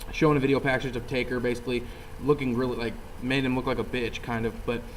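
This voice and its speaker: The speech has a monotone, flat intonation, with audible room echo and noticeable background noise. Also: man. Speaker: wrestling show reviewer. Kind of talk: casual chat. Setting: video call.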